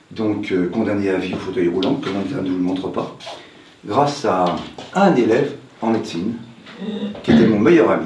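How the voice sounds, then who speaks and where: At a moderate pace and a fairly low pitch, a man talks with ordinary pitch variation and long, frequent pauses, over noticeable background noise and audible room echo. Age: 70s. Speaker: hypnotherapist. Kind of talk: conference talk. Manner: casual, conversational.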